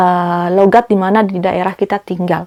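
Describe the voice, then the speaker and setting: Recorded dry and close with no echo, a woman at a medium pitch talks in a monotone, flat intonation. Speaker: perfume reviewer. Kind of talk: product review vlog. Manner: frequent 'eh' hesitation fillers.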